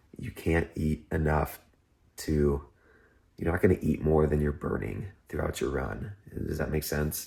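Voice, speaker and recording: The speaker whispers at a fairly slow pace, leaving long, frequent pauses. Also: man. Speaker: amateur marathon runner vlogger. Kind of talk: casual vlog talk to camera. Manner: whispering; casual, with fillers.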